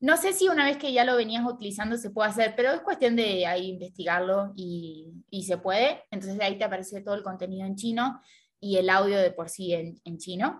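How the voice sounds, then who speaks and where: Speaking at a fairly quick pace with hardly any pauses, a woman has an unremarkable speaking voice at medium pitch with ordinary pitch variation, set against a quiet background. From Argentina. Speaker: Chinese language learner and social media creator. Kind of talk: interview.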